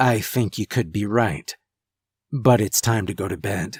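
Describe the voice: Whispering in a put-on character voice that is raspy and husky, a man speaks at a moderate pace, dry and close with no echo, on a very clean recording with a silent background.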